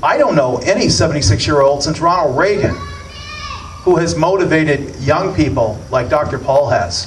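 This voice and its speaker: Amid noticeable background noise and audible room echo, a man with a fairly high pitch talks at a moderate pace, his loudness very even and his intonation lively. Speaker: radio host. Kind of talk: political speech. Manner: animated.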